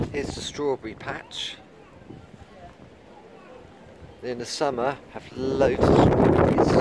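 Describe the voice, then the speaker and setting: A man talks at a very slow pace. Loud background noise runs behind him. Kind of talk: casual vlog chat. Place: garden. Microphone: phone near.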